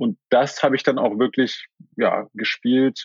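A man speaks at a fairly slow pace in a medium pitch, his intonation lively. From Germany, Berlin. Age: 30s. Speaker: sports lawyer. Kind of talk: interview. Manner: hesitant with fillers.

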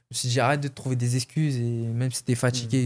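A man at a very fast pace, medium in pitch, monotone and flat, on a very clean recording with a silent background. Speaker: MMA fighter. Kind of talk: casual interview.

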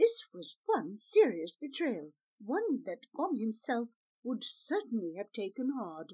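The reading voice sounds unforced. Nothing stirs in the quiet background.

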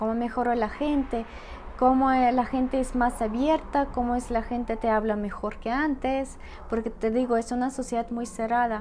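A woman with a Russian accent speaks at a moderate pace in a high-pitched voice. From Russia, Saint Petersburg. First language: Russian (speaking Spanish). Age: 30s. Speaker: podcast guest. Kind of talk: casual interview.

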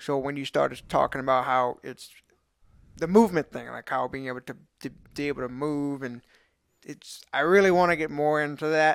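A man with a Louisiana accent, fairly high pitch, ordinary pitch variation and moderate pace, with long, frequent pauses, big swings in loudness, and a very clean recording against a silent background. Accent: Louisiana Southern. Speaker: podcast co-host, strength athlete. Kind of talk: casual chat.

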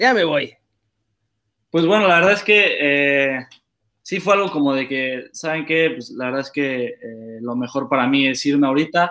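A man with a Mexican accent talks at a fairly slow pace. His voice is fairly high. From Mexico, Querétaro. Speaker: professional footballer. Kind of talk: casual interview. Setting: live stream.

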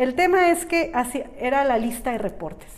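Over noticeable background noise and audible room echo, a woman speaks in an animated tone. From Mexico, San Miguel de Allende. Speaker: life and business coach. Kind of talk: interview conversation.

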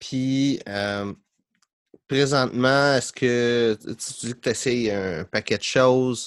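A man speaks at medium pitch with ordinary pitch variation, very slowly and with long, frequent pauses, in a dry, close sound with no echo over a quiet background. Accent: Quebec. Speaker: podcast host, business coach. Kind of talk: casual interview chat.

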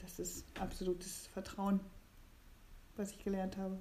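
A woman with a dark, mellow tone, medium pitch and moderate pace. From eastern Germany. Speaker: pilgrim. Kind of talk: casual chat. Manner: halting.

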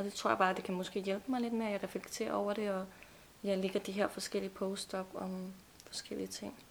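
Noticeable background noise sits behind a woman speaking at a fairly quick pace. Her pitch is medium and her intonation fairly even. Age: 20s. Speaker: nutrition student. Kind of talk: casual chat. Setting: studio.

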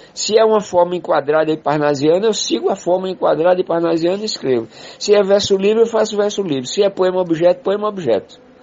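A man speaks very fast in a high pitch with ordinary pitch variation, hardly pausing, over noticeable background noise. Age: 70s. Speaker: poet and political activist. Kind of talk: interview conversation.

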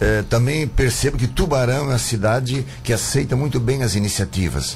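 Medium-pitched male voice in an Italian accent, lively intonation at a moderate pace, amid noticeable background noise. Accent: foreign, Italian-sounding. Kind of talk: radio interview.

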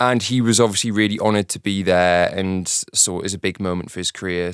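A man speaks with a British accent. His pitch sits fairly low, and his intonation stays fairly even. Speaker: music director. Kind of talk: casual chat.

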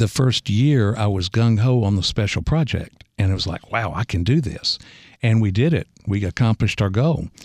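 On a very clean recording with a silent background and a dry, close sound with no echo, a man with a normal speaking voice speaks at medium pitch and a moderate pace with ordinary pitch variation. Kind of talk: radio interview. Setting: studio.

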